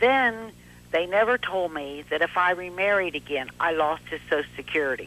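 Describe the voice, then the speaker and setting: In a normal speaking voice, a woman with a fairly low pitch talks at a moderate pace with lively intonation. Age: 60s. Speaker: widow caller. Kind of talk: call-in testimony. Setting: phone call.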